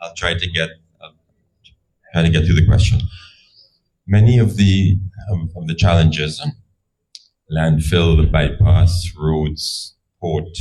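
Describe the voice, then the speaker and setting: A man speaks at a very deep, low pitch with ordinary pitch variation. His fairly slow delivery has long, frequent pauses. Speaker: audience member asking a question. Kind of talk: public forum question. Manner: halting.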